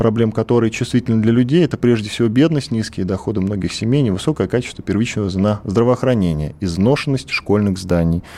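A man with a medium pitch and a dark, mellow tone talks at a fairly quick pace with lively intonation. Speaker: radio host. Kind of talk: radio interview. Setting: studio.

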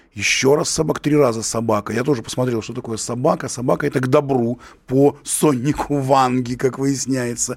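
This is a man with an unremarkable speaking voice at a medium pitch. His intonation is fairly even and his pace moderate. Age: 50s. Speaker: radio host and writer. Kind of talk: radio call-in show.

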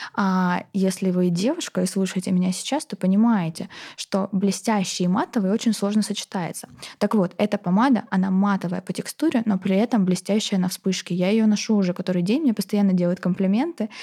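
A woman's medium-pitched, somewhat breathy voice with a dark, mellow tone, dry and close with no echo. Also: ordinary pitch variation. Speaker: podcast host and course creator. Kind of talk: interview podcast, casual chat. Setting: studio.

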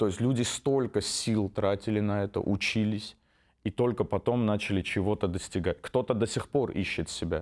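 A man with a fairly low pitch speaks in a normal speaking voice at a moderate pace, his loudness very even and his pitch variation ordinary. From Armenian family, raised in Moscow from age 4. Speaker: stand-up comedian and producer. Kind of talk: casual interview.

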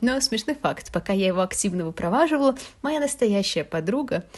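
Over a quiet background, a woman speaks at a fairly quick pace in a fairly high voice with very wide pitch swings. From Russia, Moscow. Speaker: podcast host, university student. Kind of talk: personal monologue podcast.

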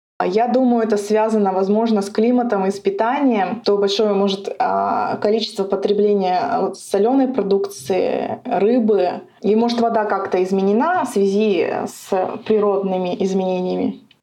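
Over noticeable background noise, a woman of medium pitch speaks at a fairly slow pace with very even loudness and fairly even intonation. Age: 30s. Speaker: cardiologist. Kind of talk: interview. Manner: halting, with fillers.

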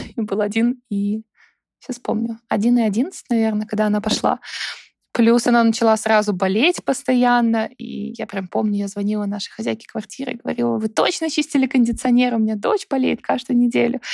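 Speaking at a fairly quick pace, a woman has a fairly high pitch, ordinary pitch variation and a somewhat breathy voice. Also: dry, close sound with no echo. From Russia, Saint Petersburg. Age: 30s. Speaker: customer success manager and volunteer fundraising coordinator. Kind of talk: casual interview chat. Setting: video call.

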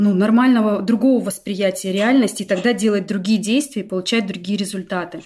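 A somewhat breathy woman's voice at medium pitch, with ordinary pitch variation. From Russia, Novosibirsk. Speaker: business owner, team development expert. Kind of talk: interview on a live stream.

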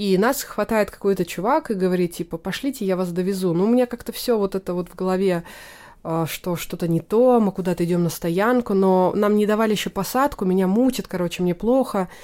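Over a very clean recording with a silent background, a woman talks at a fairly quick pace in a dark, mellow tone. Her pitch is medium, with ordinary variation. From Tatarstan, Naberezhnye Chelny (Russia). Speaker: photographer. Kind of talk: casual chat.

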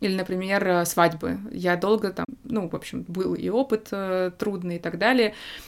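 A woman's medium-pitched voice with vocal fry, fairly even intonation and a moderate pace, on a very clean recording with a silent background. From Moscow, Russia. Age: 30s. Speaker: film photographer. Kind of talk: casual interview chat.

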